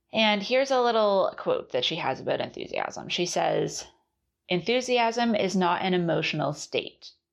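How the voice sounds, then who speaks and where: Over a quiet background, a woman talks at a moderate pace with very even loudness. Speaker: podcast host and artist. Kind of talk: solo podcast monologue about a book series. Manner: reflective, conversational.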